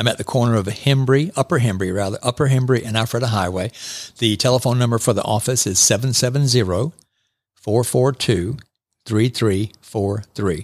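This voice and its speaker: This is a man with an unremarkable speaking voice at medium pitch, ordinary pitch variation, and a moderate pace. The recording is very clean with a silent background. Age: 60s. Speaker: chiropractor. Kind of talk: radio interview. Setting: studio.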